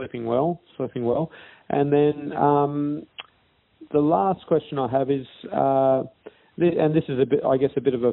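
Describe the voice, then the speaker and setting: At a moderate pace, a man with an Australian accent talks at a fairly high pitch with ordinary pitch variation. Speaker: podcast host. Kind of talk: interview.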